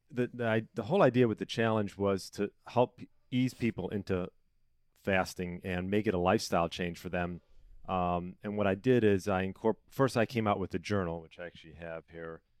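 Heard on a very clean recording with a silent background and a dry, close sound with no echo, a man with an American accent and an ordinary speaking voice talks at a fairly quick pace, fairly low in pitch, with ordinary pitch variation. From Chicago area, US. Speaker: personal trainer and health coach. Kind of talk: casual interview.

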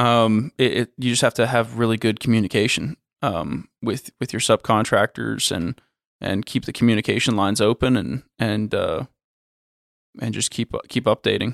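In an American accent, a man of medium pitch with vocal fry speaks at a moderate pace and ordinary pitch variation, on a very clean recording with a silent background and a dry, close sound with no echo. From Florida. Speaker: construction company executive. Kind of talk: interview. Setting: in person. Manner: hesitant, many fillers.

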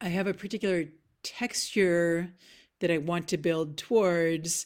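With a Canadian accent and an unremarkable speaking voice, a woman speaks at a fairly low pitch with ordinary pitch variation in a very clean recording with a silent background. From Nova Scotia, Canada (Halifax). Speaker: composer. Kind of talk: interview conversation.

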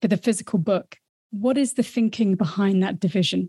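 Very fast, somewhat breathy woman's voice with a dark, mellow tone and ordinary pitch variation, against a quiet background. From Wellington, New Zealand. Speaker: podcast co-host, interviewer. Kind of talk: interview.

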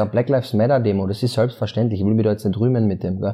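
Somewhat breathy, with a dark, mellow tone, a man speaks at a very fast pace. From Austria, Carinthia (Klagenfurt). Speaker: influencer and musician. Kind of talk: casual interview chat. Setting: office.

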